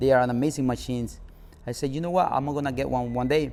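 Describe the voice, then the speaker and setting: A man at a medium pitch, with ordinary pitch variation and a Spanish accent. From Nicaragua. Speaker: car club founder. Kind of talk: interview.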